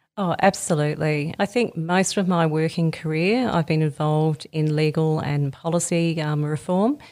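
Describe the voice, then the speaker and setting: A woman with an Australian accent speaks in a very deep, low voice with hardly any pauses. Her intonation is fairly even, and the recording is very clean with a silent background. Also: moderate pace. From Australia (Sydney, Melbourne, Brisbane). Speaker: head of research at a youth helpline charity. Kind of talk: interview.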